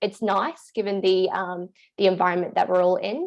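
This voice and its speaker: The voice belongs to a woman. She speaks in an Australian accent. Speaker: workplace wellbeing officer. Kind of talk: panel presentation. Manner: fast.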